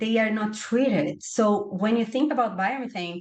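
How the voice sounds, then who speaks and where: In a Portuguese accent, a woman speaks with ordinary pitch variation. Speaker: webinar panelist on bioenergy. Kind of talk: webinar presentation. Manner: halting, many fillers and repetitions.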